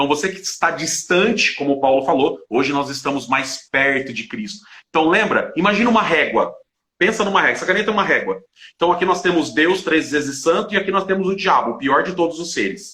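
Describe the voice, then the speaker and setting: A man's high, bright, sharp voice, with lively intonation at a fairly quick pace. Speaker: Bible study teacher. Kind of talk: Bible study live stream. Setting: live stream. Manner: fast.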